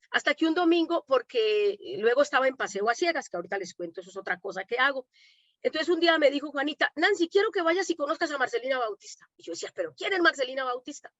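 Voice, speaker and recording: At a very fast pace, a woman with a high pitch speaks with very wide pitch swings and big swings in loudness. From Colombia, Medellín. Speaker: domestic worker and activist. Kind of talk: panel conversation. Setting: online conference.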